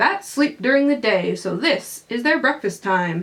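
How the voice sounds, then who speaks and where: A woman puts on a character voice, high in pitch, and talks at a moderate pace. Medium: read story.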